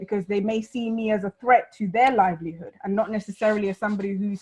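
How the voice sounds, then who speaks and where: A woman speaks very fast in a London accent at a medium pitch. Her intonation is fairly even, and there is noticeable background noise. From London, South Sudanese community. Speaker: panel guest speaking on refugees. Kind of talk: panel discussion.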